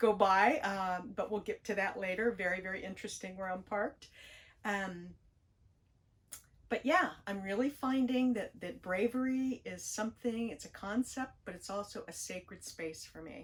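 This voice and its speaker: A woman's unremarkable speaking voice at medium pitch, with an American accent, ordinary pitch variation, a moderate pace and big swings in loudness. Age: 60s. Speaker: spiritual YouTuber. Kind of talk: personal vlog monologue. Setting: parked RV near train tracks. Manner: gentle, reflective.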